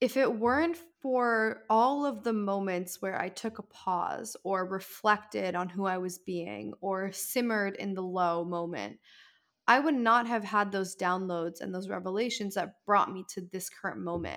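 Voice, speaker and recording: A woman's ordinary speaking voice at medium pitch, ordinary pitch variation and a fairly slow pace. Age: 20s. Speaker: author and content creator. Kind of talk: casual chat.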